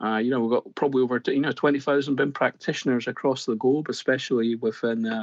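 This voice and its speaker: Against a quiet background, a man with a Scottish accent talks at a very fast pace with a medium pitch and fairly even intonation. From Scotland. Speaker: construction digital consultant. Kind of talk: podcast interview.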